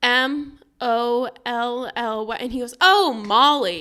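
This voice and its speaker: Lively intonation shapes a bright, sharp tone. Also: woman. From Missouri (St. Louis area). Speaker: podcast co-host. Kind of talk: casual chat. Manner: fast.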